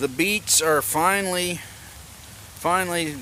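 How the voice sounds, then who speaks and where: Over noticeable background noise, a man with a Southern US accent speaks with fairly even intonation. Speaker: homesteading vlogger. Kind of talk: casual garden tour vlog. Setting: outdoors.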